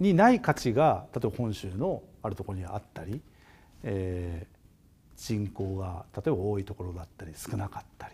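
A man speaks at a moderate pace with ordinary pitch variation and fairly low pitch. His tone is dark and mellow, somewhat breathy, with big swings in loudness. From Japan, Hokkaido (Obihiro, Tokachi); Hokkaido, Japan. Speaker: agricultural design company director; guest lecturer. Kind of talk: lecture. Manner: hesitant, many filler sounds. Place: studio. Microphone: lapel.

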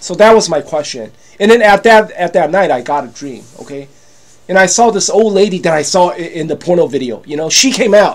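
Animated and fairly quick, a man with a high voice uses lively intonation and big swings in loudness. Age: 50s. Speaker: YouTuber selling products. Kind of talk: casual vlog monologue. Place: home room. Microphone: webcam.

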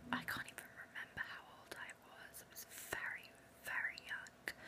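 The speaker is a woman, whispering. She goes along fairly slowly. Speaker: ASMR creator. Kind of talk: ASMR whisper talk about films. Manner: whispered. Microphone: phone near.

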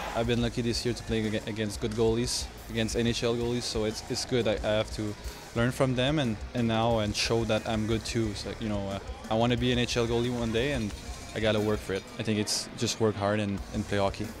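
A man's flat, monotone voice over clear music in the background. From Quebec, Canada. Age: 20s. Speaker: hockey goalie. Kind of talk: interview answer.

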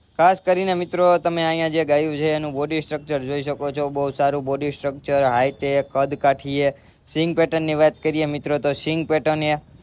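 In a flat monotone, a man speaks with a fairly high pitch. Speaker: YouTuber showing cattle farms. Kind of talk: video tour narration.

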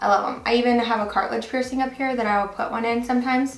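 Speaking at a fairly quick pace, a woman with a high pitch and ordinary pitch variation is heard against audible room echo. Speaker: fashion vlogger. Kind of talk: casual vlog chat. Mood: cheerful and enthusiastic. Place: home room.

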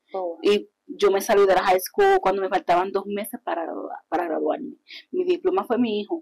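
A woman speaks with lively intonation at a moderate pace. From Puerto Rico (Yabucoa), born in Hartford; Puerto Rico. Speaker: artist promoter and pageant queen; guest. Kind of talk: interview, casual chat. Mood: warm, animated. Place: studio. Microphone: lapel.

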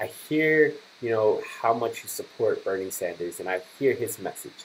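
A man speaks fairly slowly as light background noise continues. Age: 20s. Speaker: political commentary vlogger. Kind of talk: political commentary. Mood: critical, earnest. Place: home room. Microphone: webcam.

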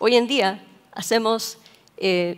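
A woman speaks at a very slow pace. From Chile. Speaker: AI researcher; speaker. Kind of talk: conference talk. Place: hall. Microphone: headset.

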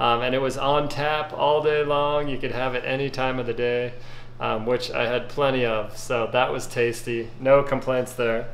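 A man talks at a moderate pace with monotone, flat intonation. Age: 40s. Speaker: YouTube food reviewer. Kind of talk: casual video review. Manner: casual with frequent fillers. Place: kitchen. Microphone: phone near.

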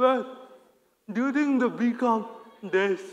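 A speaker with an Indian accent talks over a quiet background. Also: man. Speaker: operations analyst. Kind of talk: conference talk. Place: stage.

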